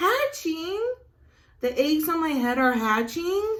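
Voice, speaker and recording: At a fairly slow pace, a woman talks in a put-on character voice. Her delivery is squeaky and sits at an extremely high pitch. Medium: read story. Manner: fretful.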